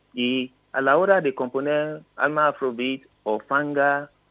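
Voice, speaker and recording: A man speaks at a very slow pace, with a dry, close sound that has no echo and a quiet background. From Nigeria, Yoruba region. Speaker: musician, bandleader and drummer. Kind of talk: interview. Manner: halting.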